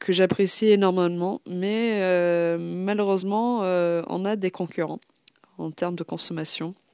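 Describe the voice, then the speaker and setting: Very slowly, a woman speaks at a medium pitch. The sound is dry and close with no echo, on a very clean recording with a silent background. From Ireland. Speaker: podcast host, history storyteller. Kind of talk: narrated history podcast, casual. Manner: frequent hesitations (euh).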